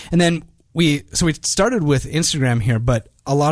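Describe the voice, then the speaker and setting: Here a man talks at a moderate pace with ordinary pitch variation. The background is quiet. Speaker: podcast host. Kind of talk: podcast interview.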